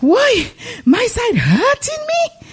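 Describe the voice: A put-on character voice, raised and projected, hits an extremely high pitch with very wide pitch swings.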